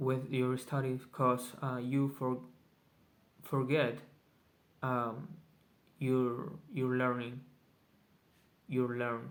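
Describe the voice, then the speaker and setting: With a Spanish accent, a man at a medium pitch speaks at a very slow pace with long, frequent pauses and fairly even intonation. There is an audible room echo. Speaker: vlogger. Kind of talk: casual video journal. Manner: halting, many fillers.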